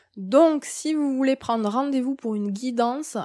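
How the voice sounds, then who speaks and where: Lively intonation marks this very slow delivery, recorded very cleanly against a silent background. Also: woman. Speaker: medium and spiritual guide. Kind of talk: monthly spiritual guidance talk. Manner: hesitant, many fillers.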